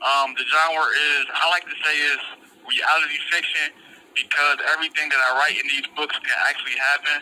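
Noticeable background noise surrounds a man whose fairly high voice stays monotone and flat. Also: moderate pace. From Detroit area, Michigan, US. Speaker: incarcerated author. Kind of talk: interview. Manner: halting.

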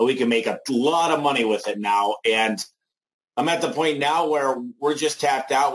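With a normal speaking voice and ordinary pitch variation, the speaker goes at a fairly quick pace. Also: man. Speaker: home services business owner. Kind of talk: sales webinar interview. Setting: live online webinar.

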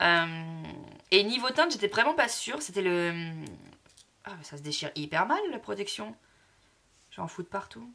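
A woman with a bright, sharp tone, very wide pitch swings, big swings in loudness and long, frequent pauses. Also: medium pitch for a woman, moderate pace. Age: 20s. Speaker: lifestyle vlogger. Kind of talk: casual vlog to camera.

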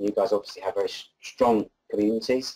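His tone is dark and mellow. The man keeps a fairly quick pace. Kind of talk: presentation talk. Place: meeting room.

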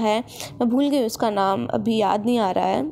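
A woman's fairly high-pitched voice with a dark, mellow tone at a moderate pace. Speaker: lifestyle vlogger. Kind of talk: vlog narration; sponsored product pitch. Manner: casual, chatty.

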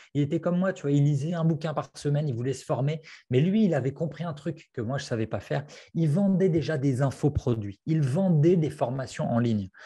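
Somewhat breathy and fairly high-pitched, a man speaks at a fairly quick pace with a dark, mellow tone and ordinary pitch variation against a quiet background. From France. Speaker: copywriting coach and author; copywriting coach. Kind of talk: interview. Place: home room. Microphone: earbuds.

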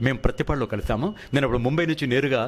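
A man with an unremarkable speaking voice and lively intonation. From Visakhapatnam, coastal Andhra Pradesh, India. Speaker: film director, actor and dubbing artist. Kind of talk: interview. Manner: formal.

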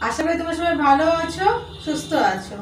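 There is audible room echo and light background noise. Over it, a woman speaks at an extremely high pitch. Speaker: cooking channel host. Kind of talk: casual vlog chat. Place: home room.

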